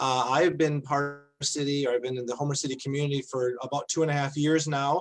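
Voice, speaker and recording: The speaker has an American accent. The intonation stays monotone and flat. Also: man. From Wisconsin. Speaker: pastor. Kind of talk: panel discussion.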